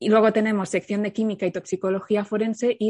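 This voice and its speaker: This woman talks at a very fast pace with a dark, mellow tone. Her pitch sits in the medium range and her intonation stays fairly even. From Catalonia, Spain. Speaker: criminologist and content creator. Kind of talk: casual interview.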